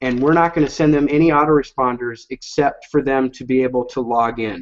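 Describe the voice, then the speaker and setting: Speaking at a medium pitch that varies in an ordinary way, the man has a plain, everyday voice. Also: fairly quick pace. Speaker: online marketing presenter. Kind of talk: software demo sales pitch. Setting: live online hangout.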